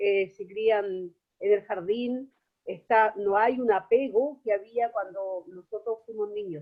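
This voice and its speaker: A woman's voice at a very slow pace, with ordinary pitch variation. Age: 60s. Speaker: student in online course. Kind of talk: class discussion comment.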